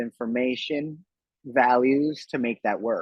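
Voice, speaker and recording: A man speaks at a moderate pace with ordinary pitch variation. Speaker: tattoo artist. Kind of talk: casual chat. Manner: soft-spoken.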